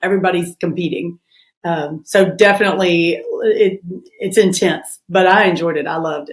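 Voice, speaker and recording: A woman speaks at medium pitch in a strong Southern US accent. Her loudness swings a lot. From US South, Memphis, Tennessee. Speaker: family lawyer. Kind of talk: interview.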